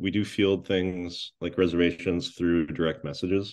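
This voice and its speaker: A man with an Upper Midwest accent, very deep and low in pitch, at a moderate pace against a quiet background. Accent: Upper Midwest American. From La Crosse, Wisconsin. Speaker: chef and restaurant owner. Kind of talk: casual interview.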